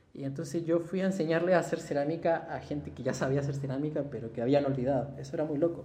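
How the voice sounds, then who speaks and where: Over noticeable background noise and audible room echo, a man speaks at a very fast pace with a fairly high pitch and fairly even intonation. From Chile. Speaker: ceramicist. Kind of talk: casual chat.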